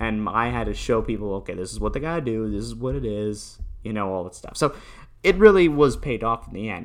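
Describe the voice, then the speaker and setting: Talking at a very fast pace, a man with a northeastern US accent shows big swings in loudness. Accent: American, northeastern US. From Newtown, Connecticut. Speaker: podcaster and streamer. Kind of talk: casual monologue. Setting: home recording. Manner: halting.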